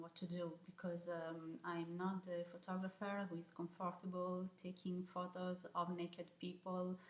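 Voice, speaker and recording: A woman's medium-pitched voice in an Italian accent, monotone and flat, over noticeable background noise. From Italy, Milan. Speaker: photographer. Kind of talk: video interview answering questions. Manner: hesitant, many fillers.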